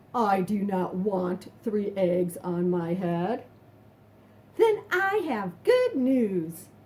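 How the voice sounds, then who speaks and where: A woman uses a put-on character voice at medium pitch, speaking at a very slow pace. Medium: read story. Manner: calm, matter-of-fact.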